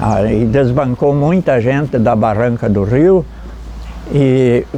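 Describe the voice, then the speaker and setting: At a very slow pace, the speech shows ordinary pitch variation. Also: man. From Santa Catarina, southern Brazil. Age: 80s+. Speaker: elderly local resident, former river raft worker. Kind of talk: interview testimony. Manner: halting, with repetitions.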